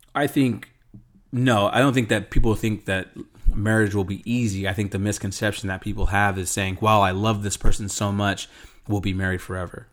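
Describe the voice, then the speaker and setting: A man talks at a fairly quick pace with a fairly low pitch. His intonation stays fairly even. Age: 30s. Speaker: host's husband. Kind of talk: casual chat. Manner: well spoken.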